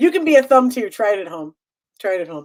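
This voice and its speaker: A woman with a Chicago accent talks in an animated tone at a fairly high pitch. Her pitch swings very widely. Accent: Chicago accent, getting stronger. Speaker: game show host and theater owner. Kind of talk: live-streamed game show banter. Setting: live stream.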